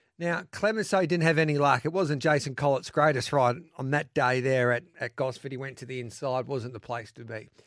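A man with an Australian accent talks at a fairly quick pace in a fairly high voice, with hardly any pauses. His pitch varies in an ordinary way while his loudness swings widely. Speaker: radio host. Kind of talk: live radio racing show. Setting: radio studio. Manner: energetic, chatty.

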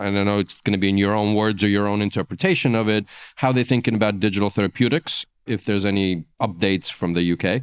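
The recording is very clean with a silent background, the sound dry and close with no echo. A man speaks in a plain, everyday voice at a fairly low pitch with ordinary pitch variation. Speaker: podcast host. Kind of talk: interview.

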